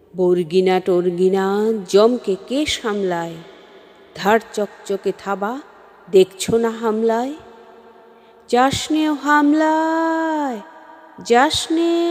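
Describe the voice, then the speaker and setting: With noticeable background noise, a woman speaks in a fairly high voice that makes very wide pitch swings. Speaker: poetry reciter. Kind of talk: poetry reading.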